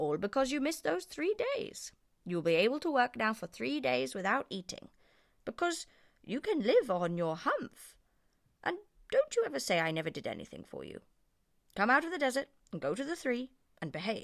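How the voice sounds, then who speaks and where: In a put-on character voice, a female-sounding speaker talks high-pitched at a moderate pace with long, frequent pauses. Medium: read story. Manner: stern, dryly teasing.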